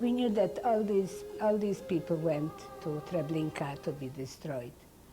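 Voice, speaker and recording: A woman talks fairly slowly while music can be heard behind her. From Poland. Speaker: Holocaust survivor. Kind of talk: interview answer.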